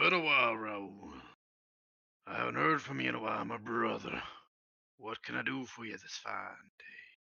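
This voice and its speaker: In a put-on character voice, the speaker sounds raspy at a moderate pace, with long, frequent pauses. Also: man. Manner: friendly, familiar.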